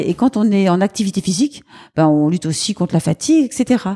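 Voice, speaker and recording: In a dry, close sound with no echo, a woman talks at a moderate pace in a medium pitch. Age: 50s. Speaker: charity founder. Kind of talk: interview. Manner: lively.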